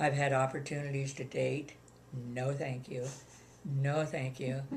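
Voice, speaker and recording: Very deep and low in pitch, a woman's somewhat breathy voice stays flat and monotone, with audible room echo. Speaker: retired widow. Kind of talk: interview.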